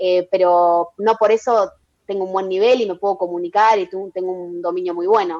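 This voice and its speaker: A woman at medium pitch, moderate pace and fairly even intonation. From Argentina. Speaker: entrepreneur. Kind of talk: interview. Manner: hesitant, many fillers.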